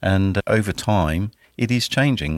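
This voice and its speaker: A man is heard in a very clean recording with a silent background. The sound is dry and close, with no echo. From southern England, Dorset. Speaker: tea company sales manager. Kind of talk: interview.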